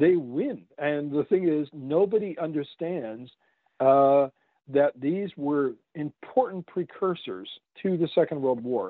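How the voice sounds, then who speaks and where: An unremarkable speaking voice with lively intonation moves at a fairly slow pace. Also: man. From Canada. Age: 50s. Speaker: author. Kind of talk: interview.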